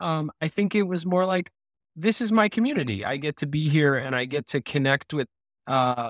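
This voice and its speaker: Recorded very cleanly against a silent background, with a dry, close sound and no echo, a man with a plain, everyday voice talks at a moderate pace, using a fairly high pitch and ordinary pitch variation. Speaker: podcast host. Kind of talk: casual chat.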